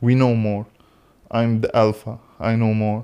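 The recording is very clean, with a silent background. A man of medium pitch speaks very slowly in an Arabic accent. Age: young. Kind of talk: casual philosophical conversation. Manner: halting.

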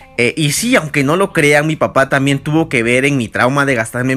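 With music playing in the background, a man speaks fairly quickly in an animated tone. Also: hardly any pauses. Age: 20s. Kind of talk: casual devotional monologue.

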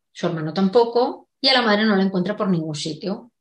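A woman's medium-pitched voice in a Castilian accent, with ordinary pitch variation. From Spain, Segovia. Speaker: novelist. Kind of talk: interview.

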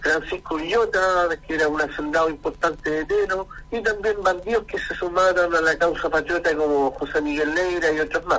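A man speaks at high pitch with fairly even intonation. There is noticeable background noise. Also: fairly quick pace. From Chile, Maule region. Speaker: poet. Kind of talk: radio interview.

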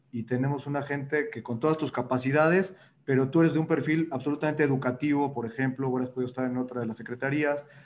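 The man talks at a very fast pace. His voice sits at medium pitch with fairly even intonation. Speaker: moderator. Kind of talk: interview.

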